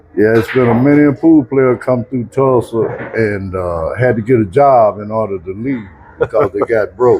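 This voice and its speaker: At a moderate pace, a man with an American accent talks at a medium pitch with ordinary pitch variation. Noticeable background noise is present. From Oklahoma. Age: 70s. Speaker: veteran pool player. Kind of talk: casual interview.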